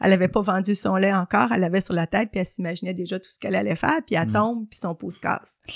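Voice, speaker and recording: A woman talks at a very fast pace with vocal fry. Her loudness swings widely. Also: medium pitch for a woman, ordinary pitch variation. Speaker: journalist and columnist. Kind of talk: interview.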